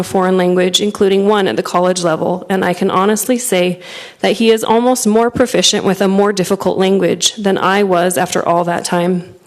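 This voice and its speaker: A soft-spoken woman's voice, medium in pitch, at a fairly quick pace with hardly any pauses and fairly even intonation. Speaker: parent giving public comment. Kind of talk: public comment read from prepared statement. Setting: school board meeting room.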